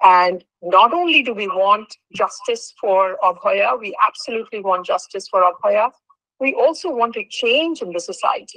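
A woman's voice, dry with no echo, over a quiet background. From Kolkata, India. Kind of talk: heartfelt statement at a virtual meeting. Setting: video call. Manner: earnest, code-switching Bengali and English. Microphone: video call.

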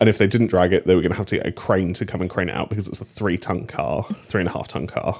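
A man's animated, very fast delivery with hardly any pauses and a very deep, low pitch. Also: ordinary pitch variation. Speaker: comedy podcast co-host. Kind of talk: casual chat. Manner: animated, laughs often.

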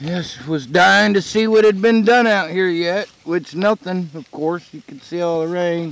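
The sound is dry with no echo as a man talks at a fairly slow pace. His pitch is high, with ordinary variation. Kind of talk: casual vlog chat. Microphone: phone near.

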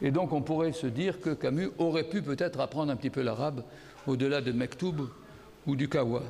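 Fairly high in pitch yet dark and mellow in tone, a man speaks at a fairly quick pace with very even loudness. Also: ordinary pitch variation. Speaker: philosopher giving a conference talk. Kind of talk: lecture. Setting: stage with audience. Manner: speaking loudly.

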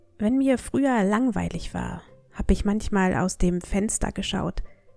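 Music can be heard in the background. Over it, a woman speaks very slowly. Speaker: language teacher. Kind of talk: storytelling. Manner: calm.

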